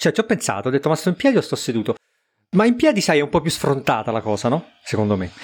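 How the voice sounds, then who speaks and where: This man talks at a very fast pace with vocal fry. His fairly high pitch makes very wide swings. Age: 40s. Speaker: podcast co-host. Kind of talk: casual chat. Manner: halting, repeats words.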